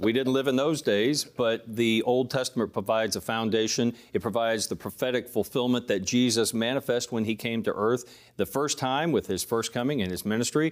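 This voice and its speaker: In a very clean recording with a silent background, a man speaks in a plain, everyday voice, his loudness very even and hardly any pauses between words. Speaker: ministry teacher, co-host. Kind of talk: studio Q&A panel discussion. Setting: TV studio.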